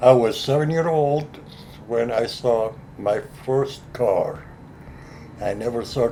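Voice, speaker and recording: A man's voice with ordinary pitch variation, audible room echo and noticeable background noise. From Lebanon. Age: 70s. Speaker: furniture maker. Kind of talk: interview. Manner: halting.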